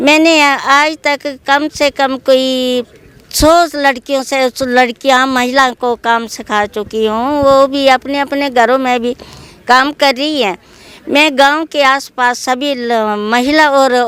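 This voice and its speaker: Recorded dry and close with no echo, a woman speaks with a high pitch and fairly even intonation. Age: 70s. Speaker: handicraft artisan. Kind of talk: interview. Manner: halting.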